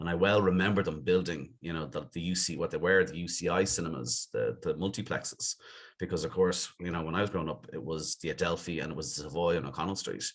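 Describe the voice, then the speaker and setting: With a Dublin accent, a man talks very fast in a very deep, low voice with vocal fry and ordinary pitch variation. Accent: Dublin Irish. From Dublin, Ireland (Clontarf, north side). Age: 50s. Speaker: business executive. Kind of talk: podcast interview.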